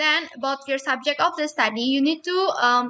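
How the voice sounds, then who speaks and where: A woman speaks in a raised, projected voice with a high pitch. Her tone is bright and sharp. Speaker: university student. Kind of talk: spoken peer review of a research proposal.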